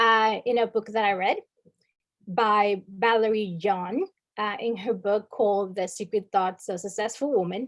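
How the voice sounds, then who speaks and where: A woman speaks in a Spanish accent at a fairly slow pace. Her pitch is medium and her intonation fairly even. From Dominican Republic. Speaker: workshop speaker. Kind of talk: workshop presentation. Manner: many filler words (um, uh).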